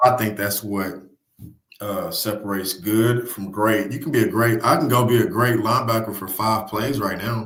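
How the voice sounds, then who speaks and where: A man's fairly low voice at a moderate pace, ordinary pitch variation, and audible room echo. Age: 30s. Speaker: high school football coach. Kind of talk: casual podcast interview. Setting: studio. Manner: animated; repetitive filler, restarts.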